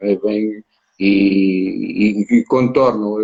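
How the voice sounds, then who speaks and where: This man speaks with a European Portuguese accent. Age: 60s. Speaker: former goalkeeper and football pundit. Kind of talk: interview conversation.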